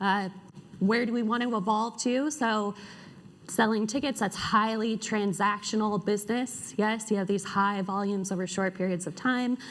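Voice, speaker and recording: Speaking in an ordinary speaking voice, a woman keeps a moderate pace and fairly even intonation at a fairly high pitch. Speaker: conference speaker. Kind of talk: conference talk. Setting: stage with audience.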